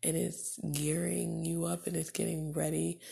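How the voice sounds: A soft-spoken woman talks with a dark, mellow tone and a calm, soothing tone, breathy with vocal fry, a slightly husky edge and fairly even intonation.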